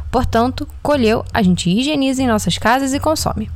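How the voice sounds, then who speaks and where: A woman with lively intonation speaks at a moderate pace while noticeable background noise comes through. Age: 20s. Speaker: nutrition student podcast host. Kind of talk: scripted narration.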